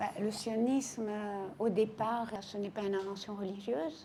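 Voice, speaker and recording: A very slow pace, a dark, mellow tone and fairly even intonation. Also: woman. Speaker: historian. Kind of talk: interview answer. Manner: soft-spoken.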